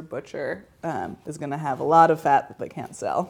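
A woman with an American accent at a moderate pace. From US Northeast (suburban New Jersey). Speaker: homestead supply shop owner. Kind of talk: interview and demonstration. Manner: casual with frequent fillers and laughter.

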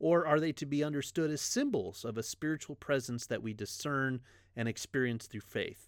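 At a moderate pace, a man speaks in an unremarkable speaking voice with a fairly high pitch and ordinary pitch variation. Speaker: pastor. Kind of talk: religious teaching podcast.

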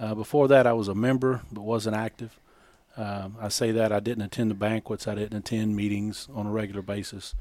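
A man's fairly low voice with an American accent, flat and monotone, at a fairly quick pace. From East Texas. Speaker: angler and conservation volunteer. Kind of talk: casual interview.

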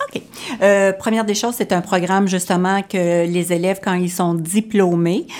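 The woman's pitch is fairly low. Her intonation stays fairly even. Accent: Quebec. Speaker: florist teacher. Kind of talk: radio interview. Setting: studio.

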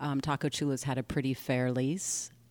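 In a very clean recording with a silent background, a woman speaks with an American accent. Her pitch is very deep and low, and her intonation is monotone and flat. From California, Egyptian heritage. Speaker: restaurant owner. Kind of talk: interview.

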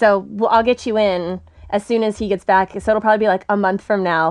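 With an American accent, a woman speaks at medium pitch. Her delivery is fairly quick, in a monotone, flat intonation. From Texas. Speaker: stand-up comedian. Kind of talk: casual chat. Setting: studio.

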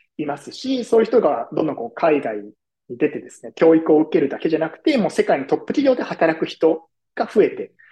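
Fairly quick and fairly high for a man, this dark, mellow voice makes very wide pitch swings and big shifts in loudness. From Tokyo, Japan. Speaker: design futurist. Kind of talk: podcast interview. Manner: polite, formal.

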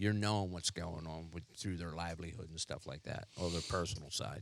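On a very clean recording with a silent background, the man talks with ordinary pitch variation. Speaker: firefighter. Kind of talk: interview. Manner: halting.

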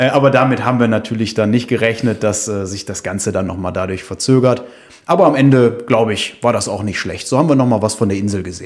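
Very rapid speech from a man, pitched in the middle range, its rise and fall ordinary. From Düsseldorf, western Germany. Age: 30s. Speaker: hiker and traveller, mechanical engineer. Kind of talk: casual interview chat. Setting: in a living room at home, in person.

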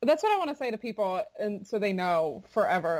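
In an American accent, a woman with an unremarkable speaking voice and medium pitch talks at a fairly quick pace. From Florida. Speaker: bluegrass singer. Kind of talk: casual interview chat.

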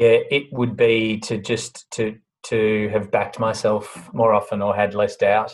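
Speaking at a fairly slow pace, a man with an Australian accent holds a fairly low pitch in a monotone, flat intonation. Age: 40s. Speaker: bakery business CEO. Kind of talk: interview. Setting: video call.

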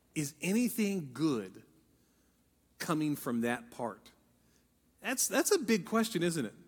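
A man with an American accent speaks at a fairly slow pace and a fairly high pitch, with very wide pitch swings and long, frequent pauses. The recording is very clean, with a silent background. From Ohio. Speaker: pastor. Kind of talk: sermon.

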